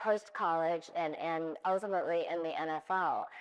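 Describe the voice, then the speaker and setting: In a quiet background, a woman with an American accent talks at a fairly low pitch in a monotone, flat delivery. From US West Coast, Oakland, California. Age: 60s. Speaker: retired business executive, panelist. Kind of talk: panel discussion, personal story.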